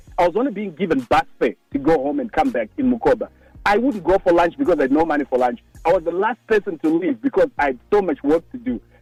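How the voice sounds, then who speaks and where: A man talks very fast in a high voice, his pitch swinging very widely. Music plays in the background, and the sound is dry and close with no echo. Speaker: success coach. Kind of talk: motivational talk on radio.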